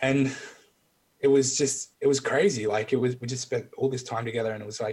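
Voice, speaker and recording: A man speaks in an Australian accent at a medium pitch. His pace is fairly quick. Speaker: military veteran. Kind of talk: casual chat.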